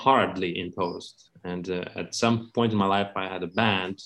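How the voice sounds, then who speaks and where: A man speaks with a Lithuanian accent. His intonation stays fairly even. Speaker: accordionist. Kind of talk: interview.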